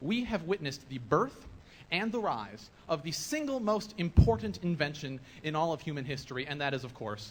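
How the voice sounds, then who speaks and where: A man with an American accent speaks at a moderate pace, his fairly high voice swinging very widely in pitch. The sound is somewhat breathy, with audible room echo. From Nebraska, US Midwest. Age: 20s. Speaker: video blogger. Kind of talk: conference presentation. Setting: stage with audience. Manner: animated.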